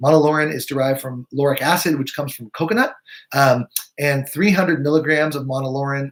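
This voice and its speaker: Somewhat breathy speech rushes by at a very fast pace. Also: man. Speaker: naturopathic physician. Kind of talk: live webinar presentation. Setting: live video stream.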